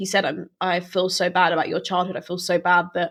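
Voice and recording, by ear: A woman speaks at a moderate pace with a fairly low pitch.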